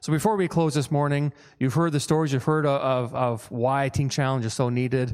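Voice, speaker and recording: In a very clean recording with a silent background, a man talks at a medium pitch with fairly even intonation. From Newfoundland. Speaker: director of addiction recovery program. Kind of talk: church presentation. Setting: church service. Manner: fast.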